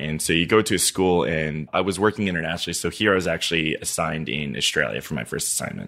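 Talking at a very fast pace, a man with a very deep, low pitch shows vocal fry and ordinary pitch variation. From Niger. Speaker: oil and gas sales engineer. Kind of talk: casual chat.

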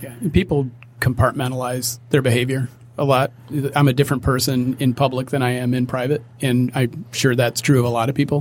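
Delivered at a fairly quick pace, the voice is somewhat breathy, with monotone, flat intonation. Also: man, medium pitch for a man. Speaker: musician. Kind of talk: casual chat.

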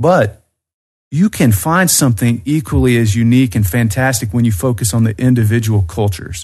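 Lively intonation at a fairly quick pace, somewhat breathy, with very even loudness throughout. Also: man, medium pitch for a man. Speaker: expat living in the North Caucasus. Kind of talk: casual interview.

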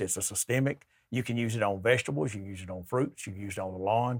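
A man with an Alabama accent at a very fast pace, ordinary pitch variation, very clean recording and silent background. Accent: Southern US (Alabama). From US South, southern Alabama. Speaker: sales rep for garden products. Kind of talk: casual interview on gardening.

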